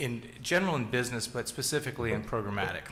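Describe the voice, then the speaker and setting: With audible room echo, a man talks using ordinary pitch variation. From US Pacific Northwest, Seattle. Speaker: tech executive, keynote speaker. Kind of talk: conference keynote. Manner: conversational with many fillers.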